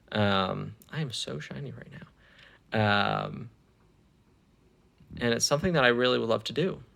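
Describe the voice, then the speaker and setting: Moderate pacing broken by long, frequent pauses, with big swings in loudness. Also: man. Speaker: self-improvement vlogger. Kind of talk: casual vlog monologue. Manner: hesitant, many fillers and repeats.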